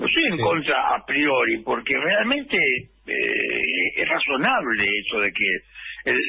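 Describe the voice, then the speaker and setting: A man is speaking. Music plays in the background. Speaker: actor and writer. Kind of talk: radio interview.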